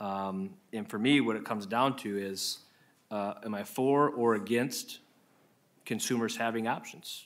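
In an American accent, the speaker moves at a fairly slow pace with long, frequent pauses and ordinary pitch variation. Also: man, medium pitch for a man. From Iowa. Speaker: state senator. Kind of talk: committee hearing questioning. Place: hall. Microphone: podium.

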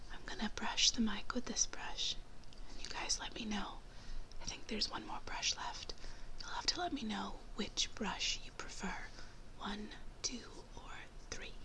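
A whispering woman with long, frequent pauses. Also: moderate pace. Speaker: beauty vlogger. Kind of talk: casual vlog chat, product review. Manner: soft-spoken, gentle ASMR voice. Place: home room. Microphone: phone near.

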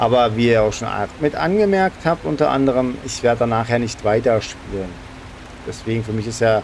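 A man's voice at medium pitch with ordinary pitch variation, over noticeable background noise. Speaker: gaming YouTuber. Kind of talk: let's play commentary. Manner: fast. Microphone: current microphone, new one ordered.

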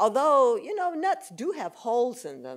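A woman talks at a moderate pace with vocal fry. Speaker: guest lecturer. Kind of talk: lecture. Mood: warm, animated. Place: hall. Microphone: podium.

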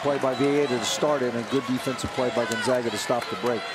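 There is noticeable background noise as a man talks in a relaxed tone at a fairly quick pace and medium pitch. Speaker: color analyst. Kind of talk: live sports commentary. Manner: relaxed, conversational analysis with occasional dry humor.

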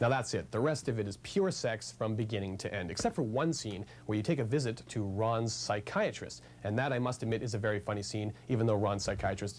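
Over light background noise, a man with vocal fry and a fairly low pitch talks with hardly any pauses. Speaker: TV movie reviewer. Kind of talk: TV review presentation. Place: shop.

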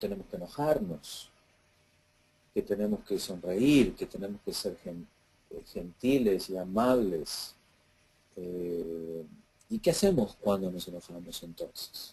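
Very slow and marked by long, frequent pauses, the voice has a dark, mellow tone and big swings in loudness. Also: man, fairly low pitch for a man, ordinary pitch variation. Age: 50s. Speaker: emotional healing course teacher. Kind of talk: casual Q&A seminar talk. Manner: halting with many fillers.

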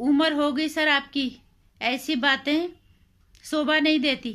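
A woman's raised, projected voice has a bright, sharp tone and ordinary pitch variation over a quiet background. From India. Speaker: video blogger / commentator; vlogger. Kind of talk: opinion monologue. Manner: animated. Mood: indignant, scolding. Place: home room. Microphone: phone near.

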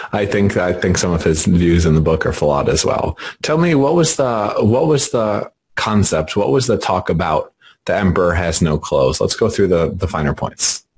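Somewhat breathy, a man speaks at a moderate pace with very wide pitch swings and very even loudness. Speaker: podcast interviewer. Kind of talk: interview conversation.

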